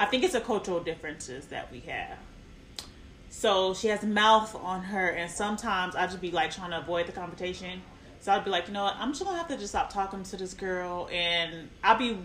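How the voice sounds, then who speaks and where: A woman at medium pitch talks at a fairly quick pace with ordinary pitch variation and big swings in loudness. Background noise is noticeable. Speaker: podcast host. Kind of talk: casual chat.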